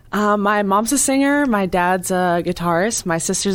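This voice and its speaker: A woman speaks in an American accent at a medium pitch. It is an unremarkable speaking voice with ordinary pitch variation. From Massachusetts, Cape Cod. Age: 20s. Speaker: singer-songwriter. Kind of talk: interview. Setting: radio studio.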